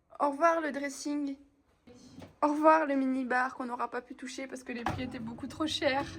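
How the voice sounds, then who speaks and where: A woman speaks at a high pitch and a moderate pace. Her tone is animated, with music playing in the background. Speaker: travel vlogger. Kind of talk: casual vlog. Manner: hesitant, many fillers.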